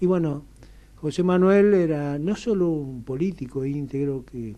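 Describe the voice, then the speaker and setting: Very slowly, a man delivers his words. The rise and fall of his pitch is ordinary. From Argentina, Buenos Aires. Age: 70s. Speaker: radio interview guest. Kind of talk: radio interview. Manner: hesitant, with fillers.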